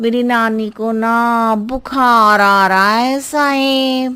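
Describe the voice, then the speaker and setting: A female-sounding, cartoonish character voice speaks very slowly at a fairly high pitch. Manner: rambling, roundabout.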